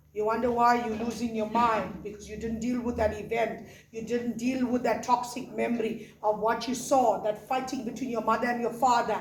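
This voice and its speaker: At a moderate pace with hardly any pauses, a woman's animated voice sits at a fairly high pitch amid audible room echo. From South Africa. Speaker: pastor. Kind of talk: sermon.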